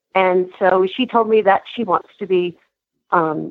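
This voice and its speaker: A woman with an American accent, medium in pitch, at a fairly slow pace with ordinary pitch variation. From New Jersey. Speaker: caller, horse owner and riding instructor. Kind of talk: casual chat.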